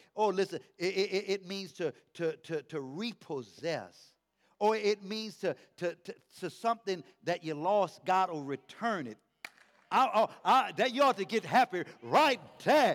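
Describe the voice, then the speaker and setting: A man with a high-pitched voice talks at a fairly slow pace in an animated tone. The sound is dry and close, with no echo. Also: lively intonation. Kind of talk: sermon to a live congregation. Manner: animated, rousing call-and-response preaching; repetitive, building rhythm with rhetorical exhortations.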